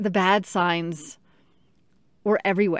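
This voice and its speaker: Here a woman speaks at a medium pitch. Her pace is very slow. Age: 30s. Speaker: teacher with colon cancer. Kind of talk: personal monologue.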